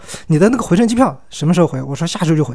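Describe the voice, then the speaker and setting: A man talks at a high pitch. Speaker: solo podcast host. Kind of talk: casual monologue. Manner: hesitant, many filler sounds.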